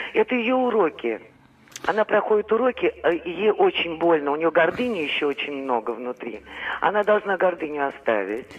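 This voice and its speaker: A woman's pitch swings very widely, with long, frequent pauses. Noticeable noise sits in the background. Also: moderate pace. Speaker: caller. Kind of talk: phone-in call. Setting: phone call. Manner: halting, stammering.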